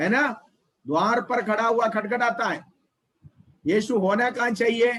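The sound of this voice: This man has a high voice with a fairly bright tone. He talks at a slow pace.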